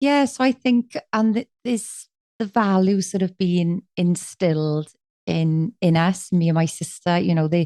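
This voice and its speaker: A woman with a South Wales accent speaks at a medium pitch with a dark, mellow tone, lively intonation, very even loudness and a fairly slow pace, in a dry, close sound with no echo. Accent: South Wales Valleys. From Wales, Aberdare. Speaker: musician and life coach. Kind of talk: podcast interview. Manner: energetic.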